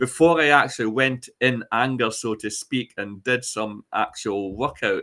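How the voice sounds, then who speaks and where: Against a silent background in a very clean recording, a man with a Scottish accent talks at a fairly slow pace and medium pitch, with ordinary pitch variation and hardly any pauses. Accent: Scottish (Ayrshire). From Scotland, Ayrshire. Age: 60s. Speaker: chat show guest. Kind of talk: casual chat. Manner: halting, many fillers and restarts.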